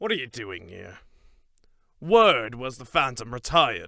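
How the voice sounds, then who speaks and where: A man's raspy, put-on character voice at medium pitch and moderate pace, on a very clean recording with a silent background. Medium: audio drama. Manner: blunt, combative.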